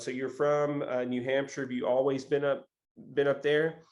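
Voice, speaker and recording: This man has an American accent and a medium pitch. He speaks at a moderate pace. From Tennessee, US South. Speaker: podcast host. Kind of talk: interview. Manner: halting, many fillers.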